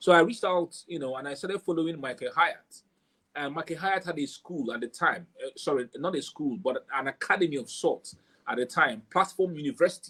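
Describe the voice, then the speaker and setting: A high-pitched male voice at a fairly quick pace with ordinary pitch variation. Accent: Nigerian. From southeast Nigeria, Igbo. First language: Igbo. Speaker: author and book marketing coach. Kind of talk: interview about book marketing.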